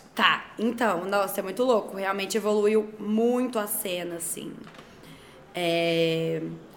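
A woman's medium-pitched voice at a very slow pace, fairly even in intonation, with audible room echo. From Brazil, Belo Horizonte. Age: 20s. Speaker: DJ. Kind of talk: casual interview chat.

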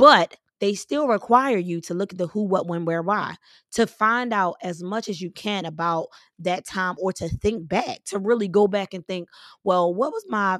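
With a normal speaking voice, a woman of medium pitch talks at a moderate pace with ordinary pitch variation, the recording very clean with a silent background and a dry, close sound with no echo. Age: 30s. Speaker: podcast host and preacher. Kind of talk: motivational faith talk.

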